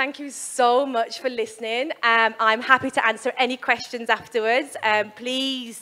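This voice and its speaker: A woman with a West Midlands accent, high pitch, and a bright, sharp tone, at a fairly slow pace with fairly even intonation, in a very clean recording with a silent background. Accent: West Midlands English, obvious. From West Midlands, England. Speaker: sports performance psychologist. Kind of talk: keynote talk. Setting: stage with audience, handheld mic. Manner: casual, with fillers.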